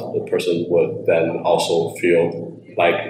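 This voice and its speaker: A man is speaking with audible room echo. Noticeable background noise runs underneath. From Taiwan. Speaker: startup founder. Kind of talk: interview.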